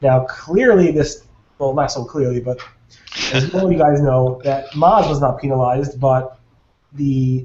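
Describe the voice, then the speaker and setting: This is a normal speaking voice at a fairly slow pace. The pitch shows ordinary variation. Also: man, fairly high pitch for a man. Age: 30s. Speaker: SEO webinar host. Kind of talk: casual panel discussion. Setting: video call.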